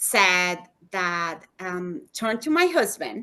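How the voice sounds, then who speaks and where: A woman with a non-native accent speaks at a very slow pace with very wide pitch swings. The background is quiet. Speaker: human rights attorney. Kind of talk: personal testimony in interview.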